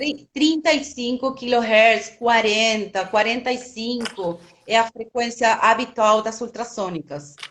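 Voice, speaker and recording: With a Spanish accent, a woman speaks at a very slow pace with hardly any pauses, her fairly high pitch showing ordinary variation. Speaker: biologist, product specialist. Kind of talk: live webinar Q&A. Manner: halting.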